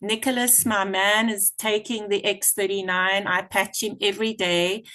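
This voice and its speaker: A woman speaks at a fairly slow pace and a medium pitch, with fairly even intonation. Hers is an unremarkable speaking voice, set against a quiet background. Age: 50s. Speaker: product user, team member. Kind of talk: testimony.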